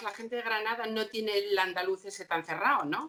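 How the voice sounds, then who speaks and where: A woman's voice at a medium pitch. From Asturias, Spain. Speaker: opera singer. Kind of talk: casual chat.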